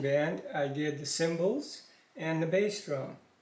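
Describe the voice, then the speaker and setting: A man's fairly high-pitched voice at a fairly slow pace, with audible room echo. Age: 70s. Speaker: father of the channel owner. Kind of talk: casual interview. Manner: hesitant.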